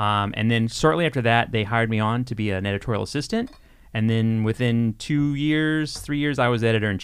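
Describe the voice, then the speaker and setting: In a very clean recording with a silent background, a man speaks with an American accent at a fairly quick pace. He has an unremarkable speaking voice, medium in pitch with ordinary pitch variation. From Texas. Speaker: video game magazine editor. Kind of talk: casual interview.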